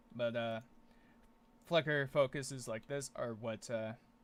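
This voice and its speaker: The man's voice shows ordinary pitch variation. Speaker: gaming video creator. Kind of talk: gameplay commentary. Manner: fast.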